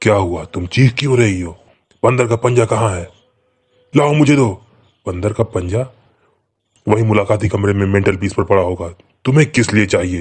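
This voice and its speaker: A man puts on a shaky character voice with a fairly low pitch. He keeps a moderate pace, broken by long, frequent pauses. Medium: read story. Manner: fearful, shaky.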